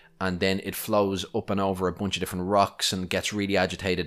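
With an Irish accent, a man speaks at a fairly quick pace in a fairly low pitch. The recording is very clean, with a silent background. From Ireland. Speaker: podcast host, aquarium hobbyist. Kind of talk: solo podcast tutorial. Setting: home recording. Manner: casual, conversational.

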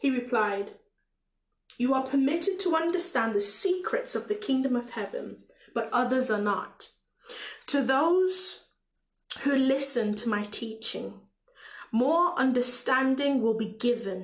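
With a Caribbean accent, a woman talks high in pitch with very wide pitch swings. Her speech has long, frequent pauses. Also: fairly slow pace. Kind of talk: prayer and preaching-style talk. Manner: halting, with fillers and repetitions.

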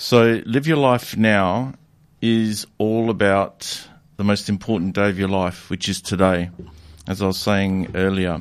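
A normal speaking voice moves at a fairly slow pace with fairly even intonation in a very clean recording with a silent background. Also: man, fairly low pitch for a man. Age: 40s. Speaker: personal development and relationship coach. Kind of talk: interview.

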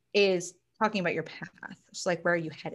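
The background is quiet, and the pace is fairly quick. It's a plain, everyday voice. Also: woman. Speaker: astrology and numerology reader, small business owner. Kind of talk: casual chat.

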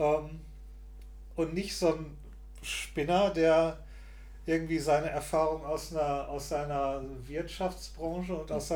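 Fairly slow male speech with audible echo from the room. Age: 40s. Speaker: podcast co-host. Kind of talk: casual chat.

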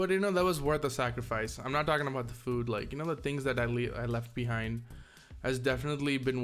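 Music is playing in the background. Over it, a man delivers his words very fast. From India. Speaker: podcast host. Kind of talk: casual solo podcast monologue.

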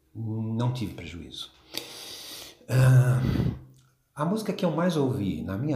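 Audible room echo and noticeable background noise fill this clip of a man talking. His pace is fairly slow and his intonation lively. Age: 60s. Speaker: music fan. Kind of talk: personal testimony.

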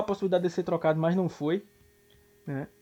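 A man rattles off his words at a very fast pace in a high voice with monotone, flat intonation. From São Paulo (Zona Leste). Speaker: American football blogger. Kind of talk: casual sports chat.

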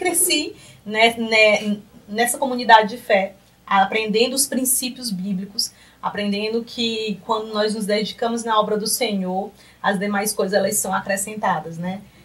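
Through noticeable background noise, a woman with a fairly high pitch speaks at a moderate pace with ordinary pitch variation. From Piauí, Brazil (Piripiri). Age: 30s. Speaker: accountant and lecturer.

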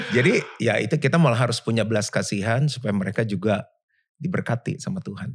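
A man speaks at a very fast pace with a somewhat breathy, medium-pitched voice and lively intonation. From Jakarta, Indonesia. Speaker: pastor. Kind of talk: casual interview chat. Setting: apartment sofa.

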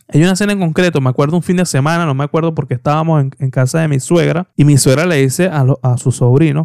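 Talking at a very fast pace in an animated tone, a man with a fairly high pitch and ordinary pitch variation sounds dry and close, with no echo. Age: 20s. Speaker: podcast host. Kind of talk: casual solo podcast monologue.

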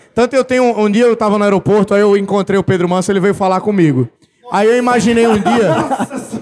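A man with a high pitch talks at a very fast pace, with ordinary pitch variation and very even loudness. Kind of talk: live podcast recording, casual banter. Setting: stage with audience. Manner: jokey.

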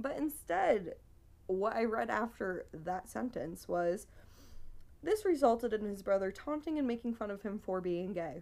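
A woman with an unremarkable speaking voice, fairly high in pitch, lively in intonation, at a moderate pace. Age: 20s. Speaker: podcast co-host, bartender. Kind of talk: casual chat about true crime.

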